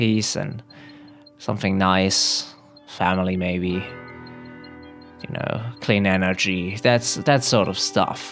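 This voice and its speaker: A man with a fairly low pitch speaks very slowly, leaving long, frequent pauses. His intonation stays fairly even as music plays in the background. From German-speaking Belgium. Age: 20s. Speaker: comedian. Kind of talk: casual comedic joke telling to camera. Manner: hesitant, rambling.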